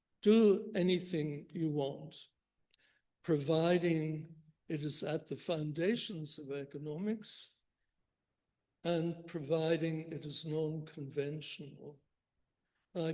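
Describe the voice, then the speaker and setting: Very slow and full of long, frequent pauses, a man talks at a fairly high pitch in a dark, mellow tone with fairly even intonation and audible room echo. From Northern Ireland, Belfast. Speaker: economics professor. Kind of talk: keynote lecture. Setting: conference stage with audience.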